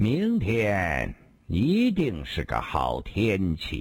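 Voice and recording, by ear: Very slowly, a man talks in a low-pitched put-on character voice with vocal fry, a slightly husky edge and very wide pitch swings.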